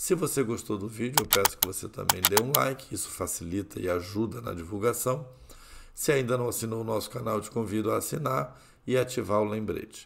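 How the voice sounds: Putting on a character voice, a man speaks hoarse and raspy at a medium pitch and a fairly quick pace.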